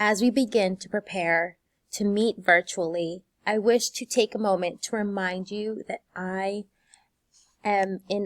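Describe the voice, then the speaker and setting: Very slowly, a woman speaks in a warm tone, the sound dry and close with no echo on a very clean recording with a silent background. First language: Spanish. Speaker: high school Spanish teacher. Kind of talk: teacher welcome video. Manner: warm, encouraging.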